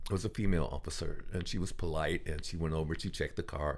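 A man with vocal fry and ordinary pitch variation is heard in a very clean recording with a silent background. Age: 60s. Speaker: actor and care actor who plays patients for doctors. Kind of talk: casual interview. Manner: halting, many fillers and repeated words.

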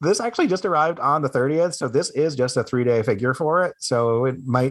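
A man's unremarkable speaking voice, fairly high in pitch, with lively intonation at a fairly quick pace on a very clean recording with a silent background. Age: 40s. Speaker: content creator and gamer, podcast co-host. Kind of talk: casual chat.

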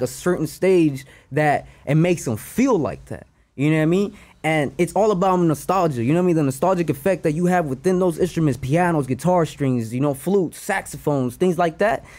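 A man with an American accent speaks fairly quickly and fairly high, with ordinary pitch variation, on a very clean recording with a silent background. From Los Angeles, North Hollywood. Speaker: rapper. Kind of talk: casual interview chat.

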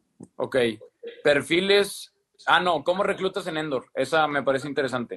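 Speaking with a Mexican accent at a fairly slow pace, a man with a fairly high pitch shows ordinary pitch variation and big swings in loudness. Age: 20s. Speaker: entrepreneur, live stream host. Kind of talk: casual chat. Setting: Instagram live video.

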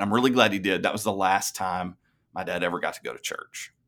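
A man talks with a Tennessee accent. His intonation stays fairly even. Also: very clean recording, silent background. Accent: Southern US (Tennessee). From US South, Tennessee. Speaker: pastor. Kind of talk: testimony.

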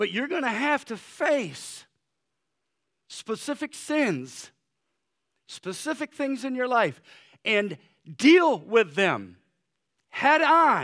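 Over a very clean recording with a silent background, a man with an extremely high pitch speaks in a bright, sharp tone with lively intonation, a very slow pace and long, frequent pauses. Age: 60s. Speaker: pastor. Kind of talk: sermon. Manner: hesitant, many fillers.

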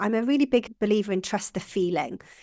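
Lively intonation comes through at a very fast pace with a Welsh accent. The recording is very clean, with a silent background. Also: woman. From Wales. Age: 40s. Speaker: business founder. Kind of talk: interview.

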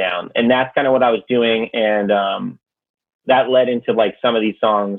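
Using an ordinary speaking voice, a man with an American accent talks at medium pitch and a moderate pace with fairly even intonation. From Connecticut. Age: 20s. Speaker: rapper. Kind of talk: casual chat.

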